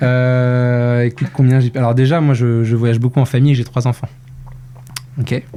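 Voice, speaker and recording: Amid noticeable background noise, a man speaks at a medium pitch and a moderate pace, with monotone, flat intonation and long, frequent pauses. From Brittany, France. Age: 30s. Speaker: marketing executive. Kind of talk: casual interview.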